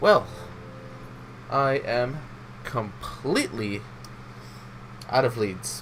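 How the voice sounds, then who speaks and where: A man at a very slow pace with long, frequent pauses over noticeable background noise. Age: 20s. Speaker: gaming youtuber. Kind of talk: let's play commentary. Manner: casual, hesitant.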